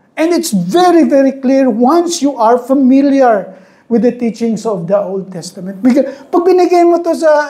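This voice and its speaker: Lively intonation marks a woman's high voice as she talks fairly slowly. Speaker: Bible teacher. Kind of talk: Bible study lecture. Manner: raised voice, loud.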